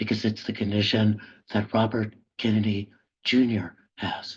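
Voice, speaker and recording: A man's fairly low, somewhat breathy voice with monotone, flat intonation. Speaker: professor and public intellectual. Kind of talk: webinar lecture. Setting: video call from office. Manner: halting, deliberate.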